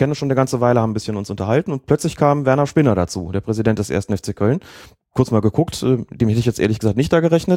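A man speaks at medium pitch in a dark, mellow tone with lively intonation. The recording is very clean, with a silent background. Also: dry, close sound with no echo. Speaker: football referee and podcast co-host. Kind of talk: casual chat.

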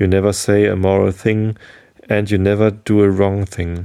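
Soft-spoken delivery with a dark, mellow tone. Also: man. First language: German. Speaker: podcast host. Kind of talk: reading aloud.

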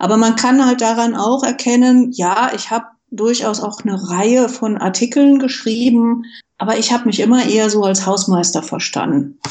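In an ordinary speaking voice, a woman talks at a moderate pace with a fairly high pitch. Her pitch variation is ordinary. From Westphalia, Germany. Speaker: IT manager and foundation board member. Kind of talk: interview.

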